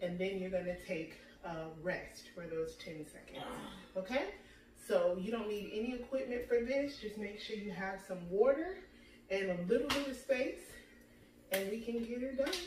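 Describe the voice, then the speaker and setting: Amid noticeable background noise and audible room echo, a woman speaks at a moderate pace with lively intonation and long, frequent pauses. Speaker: fitness instructor. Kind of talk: workout intro talk. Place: home room. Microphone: camera far.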